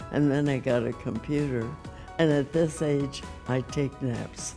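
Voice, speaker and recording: A woman's very deep, low pitch and fairly even intonation at a fairly slow pace, with music in the background. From Savannah, Georgia. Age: 80s+. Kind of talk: interview answer.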